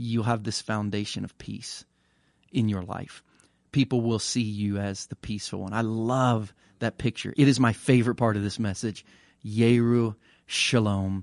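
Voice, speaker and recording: Against a quiet background, a man with a plain, everyday voice talks at medium pitch and a moderate pace. His intonation is fairly even, and the sound is dry and close with no echo. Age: 40s. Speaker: pastor. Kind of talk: casual chat.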